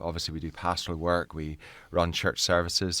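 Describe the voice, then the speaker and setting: In a Northern Irish accent, a man with a very deep, low pitch and a bright, sharp tone speaks at a moderate pace on a very clean recording with a silent background. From Northern Ireland, near Belfast. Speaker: navy chaplain and minister. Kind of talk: interview. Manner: hesitant, with fillers and repetitions.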